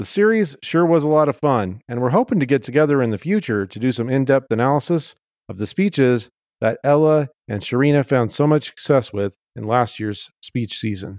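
Lively in intonation, a man at medium pitch talks at a fairly quick pace in an unremarkable speaking voice. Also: dry, close sound with no echo, very clean recording, silent background. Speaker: podcast host and camp director. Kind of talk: casual chat, podcast interview.

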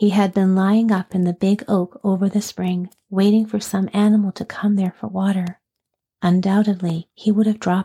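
A natural reading voice carries the words. The background stays quiet.

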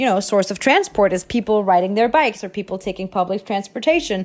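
In a Danish accent, a woman speaks at a medium pitch. The recording is very clean, with a silent background. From Denmark. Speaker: actress. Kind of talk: interview.

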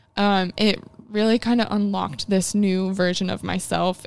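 The voice carries a Midwestern American accent. Its intonation is fairly even. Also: woman. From US Midwest, rural Illinois. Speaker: ceramic artist and studio owner. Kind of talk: casual interview.

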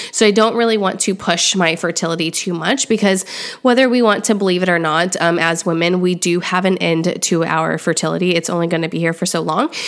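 Over noticeable background noise, a woman with a fairly low voice talks at a fairly quick pace with hardly any pauses and ordinary pitch variation. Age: 30s. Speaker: podcast host. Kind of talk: solo monologue life update. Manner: casual, many filler ums.

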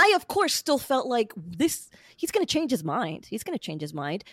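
A woman speaks at a fairly quick pace with an American accent, her pitch swinging very widely. The recording is very clean, with a silent background and a dry, close sound with no echo. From central Florida. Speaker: podcaster, divorcee sharing her story. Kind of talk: personal testimony interview.

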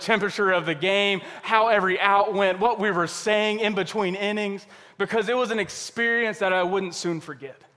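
A man talks at a fairly quick pace in a raised, projected voice with a high pitch. His tone is bright and sharp, and his intonation is fairly even. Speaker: pastor. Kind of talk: sermon. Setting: church service.

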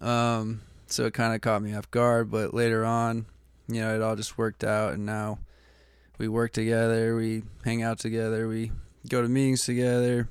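Monotone, flat intonation at a moderate pace, in a very clean recording with a silent background. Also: man, medium pitch for a man. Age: 20s. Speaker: person in addiction recovery. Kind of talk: testimony. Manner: halting, many fillers.

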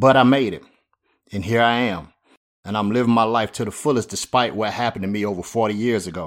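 A man rattles along very fast at medium pitch, his pitch varying in an ordinary way. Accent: Southern US. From US South, Spartanburg, South Carolina. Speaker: podcast host and pastor. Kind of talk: scripted monologue.

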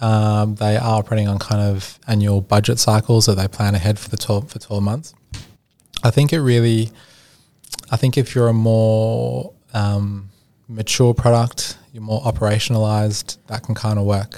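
A man with an Australian accent, fairly low in pitch, at a moderate pace with fairly even intonation. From Australia, Sydney. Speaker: product and innovation consultant. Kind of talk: podcast interview. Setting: studio.

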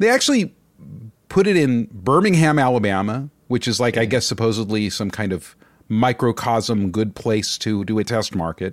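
An ordinary speaking voice from a man, medium in pitch with ordinary pitch variation, at a moderate pace over a very clean recording and a silent background. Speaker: podcast co-host. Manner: casual, conversational.

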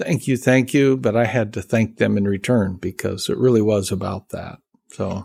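A man with an American accent talks in an ordinary speaking voice at a fairly low pitch and a moderate pace, with ordinary pitch variation, on a very clean recording with a silent background. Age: 60s. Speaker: seminary professor and pastor. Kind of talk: casual interview conversation.

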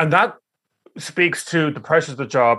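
With an Irish accent, a man talks at a very fast pace in a bright, sharp tone and ordinary pitch variation. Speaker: podcast host, head of teaching regulator. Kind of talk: interview.

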